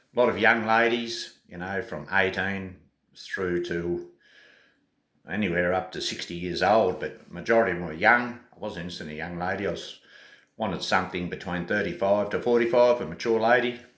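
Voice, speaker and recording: A man's fairly low voice with an Australian accent, fairly quick, with ordinary pitch variation, big swings in loudness and audible room echo. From Australia (Tasmania). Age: 60s. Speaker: travel vlogger. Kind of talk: casual vlog monologue. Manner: hesitant, many fillers.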